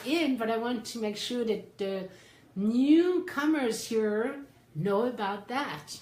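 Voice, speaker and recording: A woman with a high pitch talks at a fairly slow pace. Audible room echo surrounds her voice. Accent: French. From France. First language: French. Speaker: psychotherapist and life coach. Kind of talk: livestream talk. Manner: animated.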